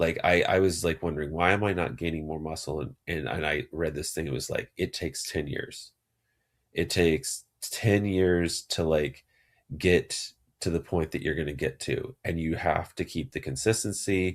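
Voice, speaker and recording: A man with a very deep, low pitch and vocal fry speaks at a moderate pace with ordinary pitch variation, on a very clean recording with a silent background. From Texas. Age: 40s. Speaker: psychiatrist podcast host. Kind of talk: solo podcast monologue. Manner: casual, conversational with fillers.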